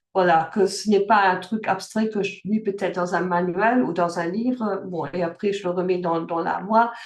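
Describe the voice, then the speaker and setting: Barely pausing, a woman talks at medium pitch with fairly even intonation over noticeable background noise. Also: moderate pace. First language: German (speaking French). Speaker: life coach. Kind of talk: online workshop talk. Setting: video call. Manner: halting, many fillers and restarts.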